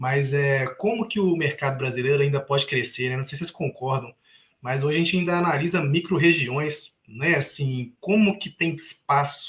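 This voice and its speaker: A man talks at a moderate pace. His pitch is fairly high with ordinary variation. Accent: Minas Gerais. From Minas Gerais, Brazil. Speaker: investment youtuber. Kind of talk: live panel discussion.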